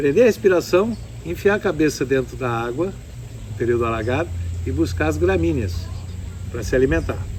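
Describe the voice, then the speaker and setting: Calm male voice at a moderate pace amid noticeable background noise. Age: 70s. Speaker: ecotourism lodge owner and horse breeder. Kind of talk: interview.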